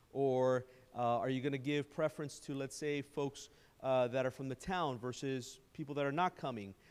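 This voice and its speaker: The man's pitch sits at a medium level, and his intonation stays fairly even. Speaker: presenter on public-private partnerships. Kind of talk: presentation at town council workshop. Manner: fast.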